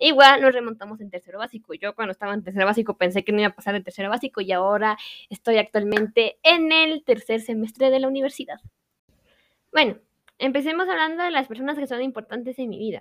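In a dry, close recording with no echo, a woman with a fairly high voice talks very fast, with lively intonation and big swings in loudness. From Guatemala, Quetzaltenango. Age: young. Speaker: university student. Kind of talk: personal monologue.

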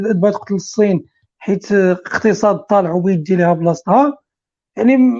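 A woman speaks at a moderate pace in a normal speaking voice, her pitch medium. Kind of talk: casual chat.

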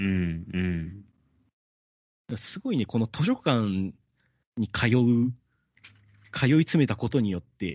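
The speaker is a man with a medium pitch. His pitch swings are very wide. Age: 30s. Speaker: podcast host and amateur bassist. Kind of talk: casual chat about a book.

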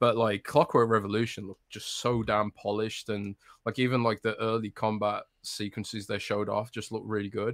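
A man speaks at a fairly quick pace with a fairly low pitch and an English Midlands accent, his intonation monotone and flat. The recording is very clean with a silent background and a dry, close sound with no echo. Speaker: games journalist. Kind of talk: casual chat.

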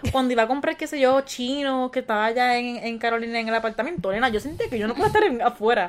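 A woman talks at a very fast pace in a high pitch. Noticeable background noise sits behind her. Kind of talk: casual chat.

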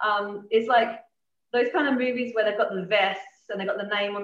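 A woman with an Australian accent speaks at a fairly quick pace. Room echo is audible around her. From Adelaide, South Australia. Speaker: rock drummer. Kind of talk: casual interview.

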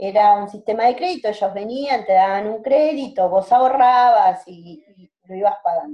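With a Rioplatense accent, a woman talks at a moderate pace with lively intonation, big swings in loudness, and hardly any pauses. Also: fairly high pitch for a woman. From Greater Buenos Aires, Argentina. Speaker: microcredit project founder. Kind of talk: interview conversation.

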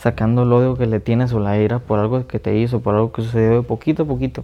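Speaking very fast, a man with a Mexican accent uses a medium pitch and ordinary pitch variation. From Mexico. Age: 20s. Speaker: podcast host. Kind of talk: casual monologue. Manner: halting.

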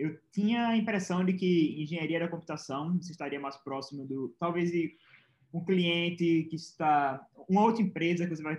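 A man with a normal speaking voice and a fairly high pitch talks at a moderate pace with ordinary pitch variation. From Pernambuco, Brazil. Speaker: software engineer, former programming competitor. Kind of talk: interview.

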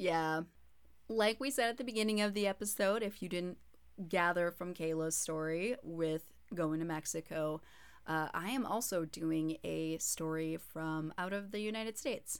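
A woman's fairly low-pitched, ordinary speaking voice with ordinary pitch variation at a moderate pace. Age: 30s. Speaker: podcast co-host and radio host. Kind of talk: casual chat with storytelling.

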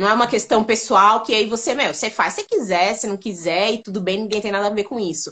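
A woman with a normal speaking voice talks at a fairly quick pace, her fairly high pitch showing ordinary variation. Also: hardly any pauses. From São Paulo, Brazil. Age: 30s. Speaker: online makeup store founder. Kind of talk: interview on a live stream. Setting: online live stream.

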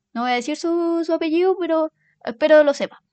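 In a Chilean accent, a woman talks at a fairly quick pace in an animated tone, the sound dry and close with no echo over a quiet background. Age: 20s. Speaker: podcast host. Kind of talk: casual monologue.

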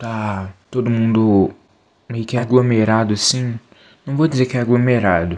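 Fairly even intonation at a fairly slow pace. An unremarkable speaking voice. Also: man. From Belo Horizonte, Brazil. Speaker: podcast co-host. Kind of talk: casual personal story.

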